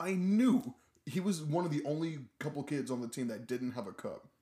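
A man with a dark, mellow tone speaks at a moderate pace and a fairly high pitch. His pitch swings very widely. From Arkansas, raised in Heber. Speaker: recent college graduate, theater major. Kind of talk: casual interview.

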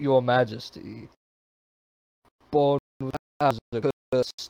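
A man puts on a character voice at medium pitch. He goes at a very slow pace.

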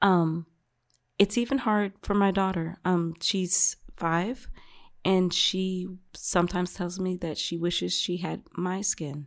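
A woman speaks at a very slow pace with an American accent. Her intonation stays fairly even. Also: medium pitch for a woman, very clean recording, silent background. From South Carolina, Beaufort area. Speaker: mother of four. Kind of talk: casual interview.

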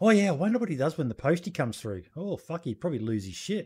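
A man with an Australian accent, animated in tone, at a very fast pace with lively intonation. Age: 40s. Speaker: podcast host. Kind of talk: casual chat.

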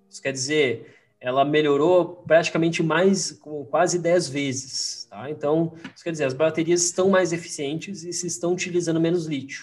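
Over noticeable background noise, a man with a fairly high voice talks at a moderate pace, his loudness swinging widely. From Rio Grande do Sul, Brazil (Farroupilha). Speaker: investment strategist. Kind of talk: casual interview chat. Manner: halting, repeats words.

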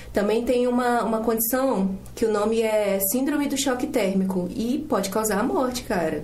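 A woman speaks at a moderate pace and fairly high pitch, with ordinary pitch variation, very even loudness and hardly any pauses. Audible room echo and noticeable background noise are present. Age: 20s. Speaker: student podcast co-host. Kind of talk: casual chat.

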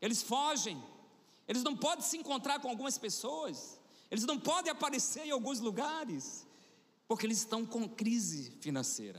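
A man speaks at an extremely high pitch and a moderate pace. His tone is animated and his intonation lively. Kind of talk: sermon. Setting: church. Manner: exhorting, rousing the congregation.

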